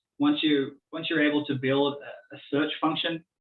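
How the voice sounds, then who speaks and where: A man speaks with an Australian accent. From Australia, born in Tasmania. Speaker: business innovation consultant. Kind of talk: Q&A after presentation.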